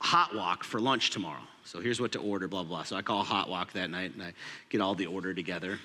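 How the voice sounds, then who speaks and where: The man's tone comes across bright and sharp. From Minnesota, US. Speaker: pastor. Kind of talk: sermon.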